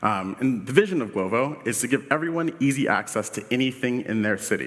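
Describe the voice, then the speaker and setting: A man's medium-pitched voice with a Washington DC accent and lively intonation. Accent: Washington DC American. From US, Washington DC. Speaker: UX director, conference speaker. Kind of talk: conference talk. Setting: stage with audience. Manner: casual, filler-heavy.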